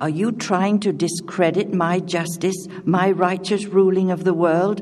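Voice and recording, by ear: The speaker is reading aloud in a natural voice, keeping the intonation fairly even.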